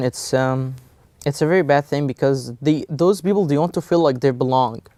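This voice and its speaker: A man with an Egyptian accent and a dark, mellow tone, at a moderate pace with ordinary pitch variation, in a dry, close sound with no echo. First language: Egyptian Arabic. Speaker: college student. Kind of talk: interview. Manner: halting, many fillers.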